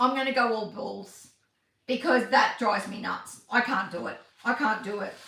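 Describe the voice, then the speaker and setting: A woman speaks with a high pitch and an animated tone, her loudness swinging a lot. Room echo can be heard. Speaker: craft tutorial livestreamer. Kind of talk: live-stream craft tutorial. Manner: fast; chatty, animated.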